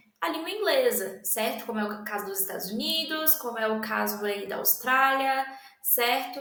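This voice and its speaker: Speaking at a fairly slow pace, a woman with a high pitch and lively intonation is heard amid noticeable background noise and audible room echo. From Brazil. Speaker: language student presenter. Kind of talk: educational presentation. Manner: halting, many fillers.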